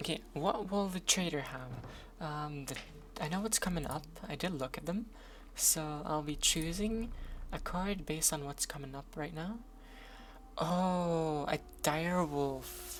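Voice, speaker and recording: A woman with a Norwegian accent speaks at a very deep, low pitch. Long, frequent pauses break up her speech over noticeable background noise. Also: ordinary pitch variation. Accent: non-native English, Norwegian. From Norway. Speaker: streamer. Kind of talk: gaming commentary. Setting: live stream. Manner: casual, hesitant with fillers.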